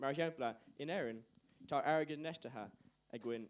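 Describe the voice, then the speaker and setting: A man speaks with an Irish accent at a fairly high pitch. His pace is moderate and his pitch variation ordinary. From Ireland. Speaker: youth assembly delegate. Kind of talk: formal debate speech.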